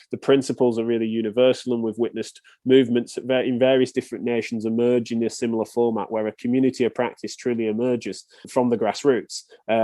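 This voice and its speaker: Talking at a very fast pace, a man with an English accent keeps a medium pitch and a monotone, flat intonation. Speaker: physiotherapist. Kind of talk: podcast interview.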